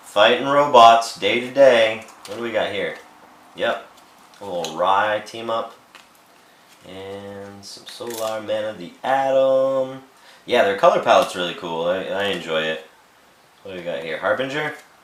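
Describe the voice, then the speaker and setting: A man speaks at a medium pitch and a moderate pace with ordinary pitch variation, leaving long, frequent pauses amid audible room echo and noticeable background noise. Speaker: toy and collectibles vlogger. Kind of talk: casual chat. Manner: casual, with frequent fillers.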